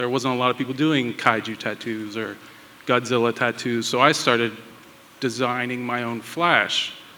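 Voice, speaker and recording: Speaking at a fairly slow pace with an American accent, a man has a medium pitch, and there is noticeable background noise. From Pittsburgh, US. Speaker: tattoo artist and toy designer. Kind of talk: panel discussion.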